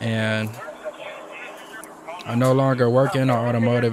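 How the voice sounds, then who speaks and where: A man's medium-pitched voice with an American accent, fairly slow in pace and fairly even in intonation, over noticeable background noise. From Michigan. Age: 20s. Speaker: YouTuber reacting to police chase videos. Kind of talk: casual reaction commentary. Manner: casual, conversational.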